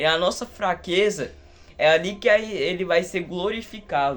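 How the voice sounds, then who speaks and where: Here a man speaks with a high pitch. His pitch shifts in an ordinary way. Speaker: lay preacher. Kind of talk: sermon. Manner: fervent.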